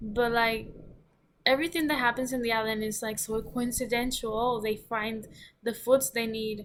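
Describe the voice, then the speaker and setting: This woman speaks with a non-native accent and fairly even intonation. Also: fairly high pitch for a woman, moderate pace. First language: not English. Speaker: book reviewer. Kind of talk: casual vlog review. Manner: halting, many fillers and restarts.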